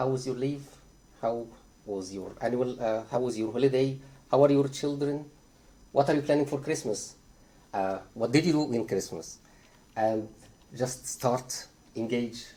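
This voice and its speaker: A dark, mellow tone with a non-native accent, ordinary pitch variation and a moderate pace, plus long, frequent pauses and audible room echo. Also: man, medium pitch for a man. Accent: foreign. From Egypt. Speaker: psychiatry trainee doctor. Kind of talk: conference talk. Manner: hesitant, many filler uhs.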